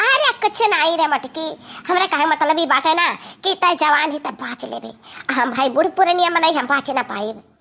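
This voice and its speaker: In a cartoonish character voice, a woman speaks extremely high. Her pace is fairly quick and her intonation lively. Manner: whiny, complaining.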